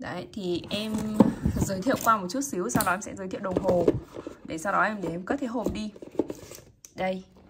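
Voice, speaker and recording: Over loud background noise, a woman speaks in a sing-song way at a fairly quick pace, broken by long, frequent pauses. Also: medium pitch for a woman, ordinary pitch variation. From Vietnam. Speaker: watch seller. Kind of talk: sales pitch. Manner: animated street-seller patter, upbeat and repetitive, urging viewers to subscribe; emphatic, repeats words for effect, chatty and sing-song. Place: shop. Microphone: phone near.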